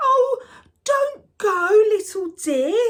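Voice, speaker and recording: This is a put-on character voice, squeaky and extremely high in pitch. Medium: read story. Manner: excited, giggly.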